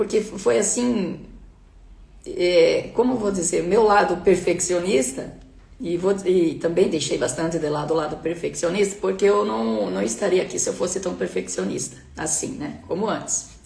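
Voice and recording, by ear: A woman's put-on character voice, hoarse and fairly low-pitched, with lively intonation at a moderate pace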